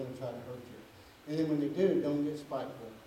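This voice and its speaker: A man talks at a fairly quick pace. Light background noise and audible room echo fill the recording. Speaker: preacher. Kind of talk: sermon. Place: church.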